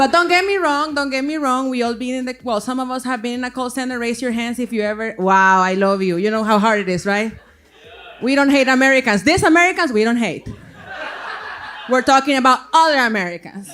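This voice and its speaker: Speaking at a fairly quick pace with a Salvadoran accent, this voice comes through over noticeable background noise. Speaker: stand-up comedian. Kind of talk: stand-up. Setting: stage with audience.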